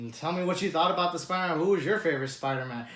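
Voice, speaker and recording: With audible room echo around him, a man speaks in a high pitch with ordinary pitch variation. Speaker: movie reviewer. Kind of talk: casual review monologue. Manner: halting, stuttering.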